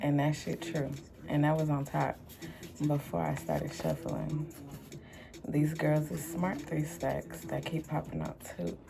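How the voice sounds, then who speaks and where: With music in the background, a woman with an American accent speaks at a fairly slow pace with long, frequent pauses. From Houston, Texas. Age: 30s. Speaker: tarot reader and music producer. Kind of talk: casual vlog monologue.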